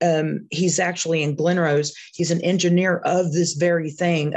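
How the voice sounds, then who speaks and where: At a moderate pace, a woman speaks with a fairly low pitch. Her delivery is flat and monotone. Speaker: webinar participant, caregiver. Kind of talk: casual chat. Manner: halting.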